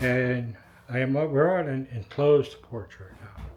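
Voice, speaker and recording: Medium pitch in a male voice. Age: 60s. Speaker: retired real estate investor and vlogger. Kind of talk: walkthrough tour of a house. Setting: inside a house being renovated. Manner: loud; casual.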